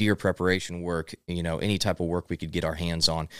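A man with a Midwestern American accent speaks at a very fast pace in a very deep, low, monotone voice with flat intonation, the sound dry and close with no echo and the recording very clean with a silent background. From Missouri, US Midwest. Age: 20s. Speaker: entrepreneur. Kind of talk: casual interview. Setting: studio.

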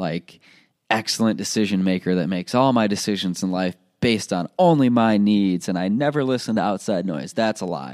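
A man speaks in a normal speaking voice at a fairly low pitch, with ordinary pitch variation and a moderate pace. The recording is very clean, the background silent. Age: 20s. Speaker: podcast host. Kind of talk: solo motivational podcast monologue. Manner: casual with frequent fillers.

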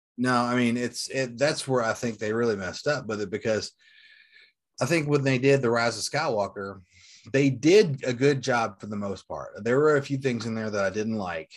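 An unremarkable speaking voice, with ordinary pitch variation, moves at a moderate pace over a quiet background. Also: man, medium pitch for a man. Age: 40s. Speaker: Star Wars collector. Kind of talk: casual chat.

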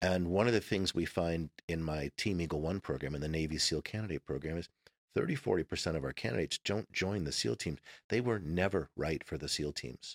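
In a very clean recording with a silent background and a dry, close sound free of echo, a man speaks fairly quickly at a very deep, low pitch with vocal fry and ordinary pitch variation. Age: 50s. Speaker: former Navy SEAL and speaker. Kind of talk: casual interview conversation.

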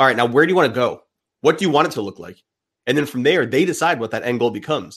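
A medium-pitched man talking very fast with lively intonation over a quiet background. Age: 30s. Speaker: men's coach and podcaster. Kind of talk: casual chat.

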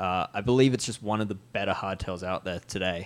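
The speaker has a normal speaking voice. The pace is fairly quick and the intonation fairly even. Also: man. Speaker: cycling podcast host. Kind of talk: casual banter, tech discussion.

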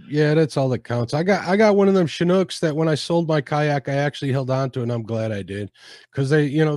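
An ordinary speaking voice moves at a fairly quick pace with lively intonation, recorded with a dry, close sound with no echo against a quiet background. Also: man. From Chicago area. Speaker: fishing podcast host. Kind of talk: casual interview chat.

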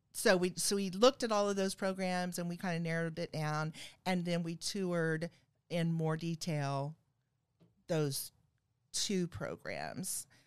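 On a very clean recording with a silent background, a woman speaks at a very slow pace, fairly low in pitch, with fairly even intonation. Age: 50s. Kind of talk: casual chat.

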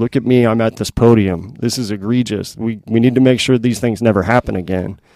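A man's fairly low, dark, mellow voice with an American accent and fairly even intonation, on a very clean recording with a silent background. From Missouri, Kansas City area. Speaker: retired police officer. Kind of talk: casual chat.

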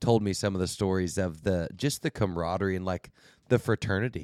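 Over a very clean recording with a silent background, a man with a plain, everyday voice speaks at a fairly quick pace, fairly low in pitch and with ordinary pitch variation. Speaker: podcast co-host. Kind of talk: casual banter interview. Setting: studio.

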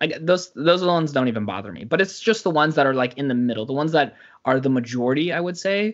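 A fairly high-pitched man talking at a very fast pace, his intonation lively. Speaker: YouTuber. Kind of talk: casual chat. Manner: fast talker; animated.

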